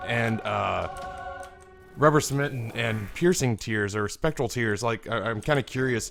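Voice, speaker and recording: With music in the background, a man with an American accent speaks with very wide pitch swings. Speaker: gaming YouTuber. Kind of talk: casual gameplay commentary.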